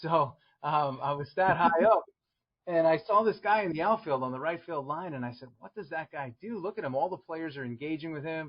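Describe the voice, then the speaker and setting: The speaker has a New York accent. The pace is fairly quick. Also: man, fairly high pitch for a man, ordinary pitch variation, big swings in loudness. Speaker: strength and conditioning coach. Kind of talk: podcast interview.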